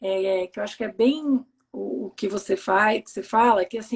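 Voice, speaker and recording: There is lively intonation as a woman speaks. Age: 40s. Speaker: live stream host with bipolar disorder. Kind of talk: casual live interview chat. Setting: live stream video call.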